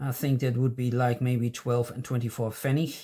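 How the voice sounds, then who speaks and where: A dark, mellow voice with a non-native accent and a somewhat breathy quality. The pace is fairly slow against a quiet background. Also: man. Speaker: stamp collecting youtuber. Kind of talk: casual chat. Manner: halting. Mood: relaxed, pleased. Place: home room.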